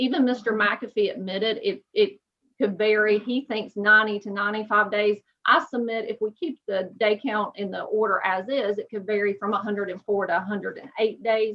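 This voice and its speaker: Fairly quick and with fairly even intonation, a woman speaks at a fairly high pitch. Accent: East Tennessee. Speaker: attorney. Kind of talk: oral argument. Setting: video call. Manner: formal.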